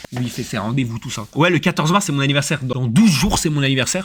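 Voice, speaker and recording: A man's animated voice, fairly high in pitch, on a very clean recording with a silent background. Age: 20s. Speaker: streamer. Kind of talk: casual live stream chat. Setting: streaming studio.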